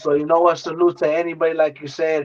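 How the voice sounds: A man speaks with fairly high pitch and little pitch movement.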